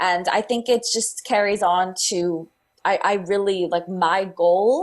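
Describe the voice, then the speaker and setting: Medium-pitched speech from a woman, her pitch varying in an ordinary way. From southern California. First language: Spanish. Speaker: fitness instructor. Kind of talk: podcast interview. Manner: halting, many fillers.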